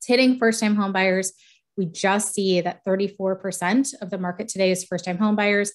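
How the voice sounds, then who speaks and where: In a very clean recording with a silent background, a woman speaks at a medium pitch with fairly even intonation. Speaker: real estate economist, researcher. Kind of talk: presentation with slides. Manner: fast.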